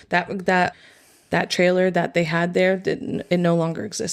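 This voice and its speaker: With an American accent, the speaker goes at a fairly quick pace in monotone, flat intonation. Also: woman. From Florida (Volusia County area). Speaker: bartender and hospitality worker. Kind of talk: casual chat.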